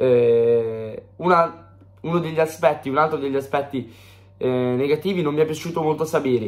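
At a moderate pace, a man talks in a fairly high pitch with ordinary pitch variation. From Italy. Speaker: football pundit; fan match analyst. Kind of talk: match analysis. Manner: hesitant fillers. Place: home room. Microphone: phone near.

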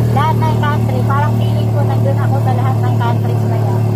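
The speaker talks at a moderate pace. Loud background noise fills the recording. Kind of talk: casual vlog chat. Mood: relaxed, reflective. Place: car. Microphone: phone near.

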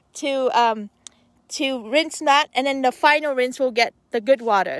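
The sound is dry, with no echo. The pace is moderate. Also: woman, quiet background. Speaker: van-life vlogger. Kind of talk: casual vlog chat. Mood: cheerful, playful. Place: open country. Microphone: phone near.

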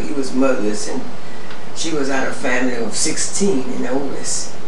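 Speaking at a moderate pace with an American accent, a woman is heard over noticeable background noise and audible room echo. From Rosenberg, Texas, USA. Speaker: storyteller recalling family history. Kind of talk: oral history interview answer. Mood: calm, proud reminiscing. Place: home room.

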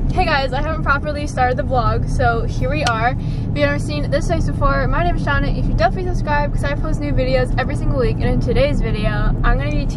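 Very fast speech with hardly any pauses comes through loud background noise, the sound dry with no echo. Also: woman. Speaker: vlogger. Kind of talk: casual vlog chat. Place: car. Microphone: phone near.

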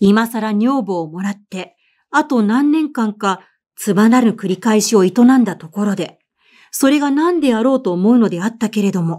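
A woman speaks at a moderate pace with a fairly high pitch, a dark, mellow tone and lively intonation. The recording is very clean, with a silent background. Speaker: voice actor and narrator. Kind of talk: audiobook literary reading.

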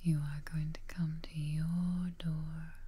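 A woman speaks in a dark, mellow tone that is somewhat breathy. Her intonation stays monotone and flat. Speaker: relaxation guide. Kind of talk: guided meditation, soft-spoken.

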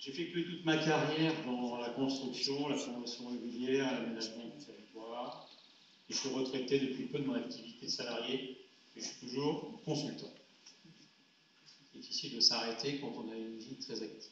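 Amid light background noise and audible room echo, a man speaks at a moderate pace with fairly even intonation and big swings in loudness. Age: 60s. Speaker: local politician; council member introducing himself. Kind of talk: campaign speech. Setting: council meeting hall. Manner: halting. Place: hall.

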